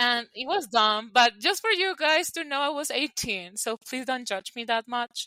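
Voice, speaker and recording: Speaking at a moderate pace with hardly any pauses, a woman with a Colombian accent uses a high pitch and lively intonation. Her tone is bright and sharp, and the sound is dry and close with no echo. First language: Spanish. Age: 20s. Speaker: podcast co-host. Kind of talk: casual chat.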